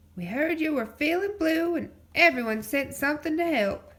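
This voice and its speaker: A woman's high-pitched, put-on character voice at a moderate pace. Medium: read story. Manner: folksy, easygoing.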